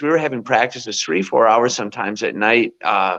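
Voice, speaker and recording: The voice has vocal fry, with a quiet background behind it. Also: man. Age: 60s. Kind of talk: interview. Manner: animated.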